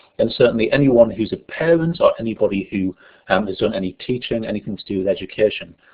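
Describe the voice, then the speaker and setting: He is a man with a northern English accent. He talks at a very fast pace. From northern England. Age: 30s. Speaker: education researcher. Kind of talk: online lecture.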